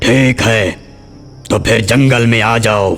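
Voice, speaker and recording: A raspy, cartoonish character voice from a man, medium in pitch, at a moderate pace over clear background music. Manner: boastful, domineering.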